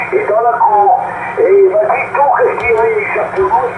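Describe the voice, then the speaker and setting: With noticeable background noise and audible room echo in the recording, a man keeps a moderate pace. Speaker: CB radio operator. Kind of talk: radio chat. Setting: CB radio contact.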